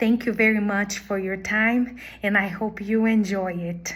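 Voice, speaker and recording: Intonation stays monotone and flat. The delivery is fairly slow, in a Portuguese accent. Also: woman. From Brazil. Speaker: language teacher. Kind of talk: job application video.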